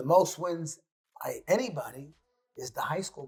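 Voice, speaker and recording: A man speaks with a New York accent while music plays in the background. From New York City. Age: 60s. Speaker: high school basketball coach. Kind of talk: interview. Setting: studio.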